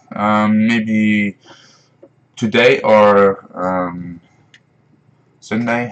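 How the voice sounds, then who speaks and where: With a Dutch accent, a man speaks very slowly in a fairly low pitch, his intonation monotone and flat and his pauses long and frequent. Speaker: gaming streamer. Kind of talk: live stream gameplay commentary. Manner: halting, many fillers.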